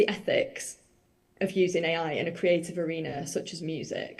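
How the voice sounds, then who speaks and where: A woman with a Mancunian accent speaks at a moderate pace in a dark, mellow tone. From northern England, Manchester. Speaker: musician and journalist. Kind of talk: conference presentation. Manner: casual, chatty.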